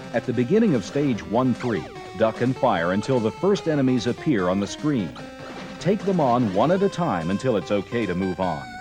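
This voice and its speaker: Music in the background under a man talking at a moderate pace and a medium pitch, with very wide pitch swings. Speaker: video game tips announcer. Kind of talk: instructional voiceover for game strategy tape.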